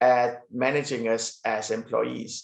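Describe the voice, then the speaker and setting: A man speaks with a Danish accent. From Denmark. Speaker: business executive. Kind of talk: interview. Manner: hesitant, many fillers.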